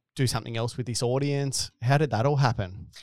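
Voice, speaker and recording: A man speaks with an Australian accent and ordinary pitch variation, recorded very cleanly against a silent background with a dry, close sound and no echo. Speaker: podcast host and business co-founder. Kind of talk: casual interview chat. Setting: studio. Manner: jokey, casual.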